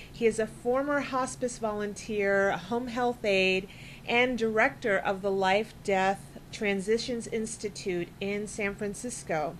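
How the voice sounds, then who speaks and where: At a fairly slow pace with hardly any pauses, the speech shows ordinary pitch variation over light background noise. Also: woman. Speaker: web show host. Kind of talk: interview. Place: studio. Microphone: studio mic.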